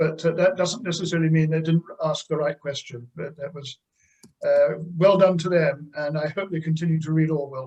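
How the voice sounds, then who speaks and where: Speaking in an English accent, this man's voice sits fairly high in pitch. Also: fairly even intonation, moderate pace. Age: 70s. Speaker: son of a famous writer. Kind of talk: interview answers. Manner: halting.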